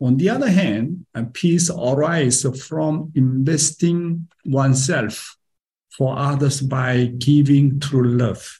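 A man with a Korean accent talks very slowly at a fairly high pitch with ordinary pitch variation. His tone is dark and mellow, and somewhat breathy. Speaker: pastor. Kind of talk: sermon. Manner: animated.

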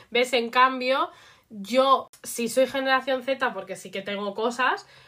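Lively intonation pairs with a bright, sharp tone. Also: woman. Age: 20s. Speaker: podcast co-host. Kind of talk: casual chat.

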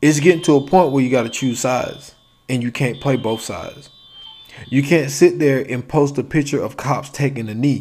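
A fairly high-pitched man's voice over music in the background. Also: fairly even intonation, moderate pace. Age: 30s. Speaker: podcast host. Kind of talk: solo monologue rant.

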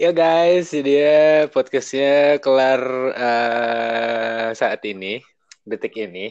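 A man speaks very slowly in a medium pitch, his pitch varying in an ordinary way. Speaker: radio announcer. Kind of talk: casual chat. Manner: animated. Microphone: choppy connection.

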